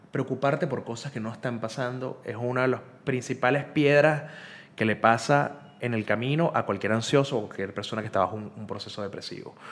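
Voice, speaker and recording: Speaking at a fairly quick pace, a man talks with a Venezuelan accent. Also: medium pitch for a man, ordinary pitch variation. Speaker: journalist and human rights activist; journalist. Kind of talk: casual conversational interview. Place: home room. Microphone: studio mic.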